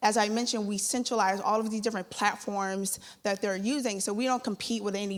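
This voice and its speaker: On a very clean recording with a silent background, a woman talks at a fairly quick pace in a medium pitch, with an unremarkable speaking voice. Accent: American. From Philadelphia, US. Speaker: startup founder. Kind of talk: sales pitch.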